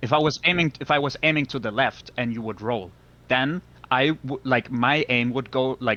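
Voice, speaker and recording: A man speaks with a non-native accent. His tone is bright and sharp, and his pitch varies in an ordinary way. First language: not English. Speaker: gamer accused of cheating. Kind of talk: heated debate. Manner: halting, repeating words.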